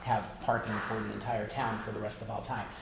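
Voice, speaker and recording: Very fast delivery amid noticeable background noise and audible room echo. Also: man. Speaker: school board candidate. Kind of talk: candidate speech.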